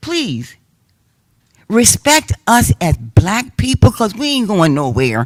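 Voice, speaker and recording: Her pitch is medium, with very wide swings and vocal fry, at a very slow pace. The sound of this woman's voice is dry and close, with no echo. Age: 80s+. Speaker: public commenter at city council meeting. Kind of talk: public comment speech. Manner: impassioned.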